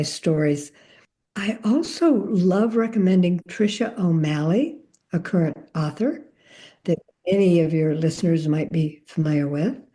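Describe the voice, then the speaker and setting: A woman with a fairly low pitch speaks in a dark, mellow tone. Her voice is somewhat breathy, with ordinary pitch variation. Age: 70s. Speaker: romance novelist. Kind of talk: casual interview.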